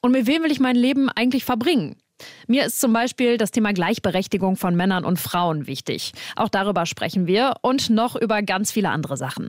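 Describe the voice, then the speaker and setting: In a plain, everyday voice, a woman with a fairly high pitch talks at a fairly quick pace with lively intonation. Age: 20s. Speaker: radio trainee, podcast co-host. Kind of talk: podcast intro.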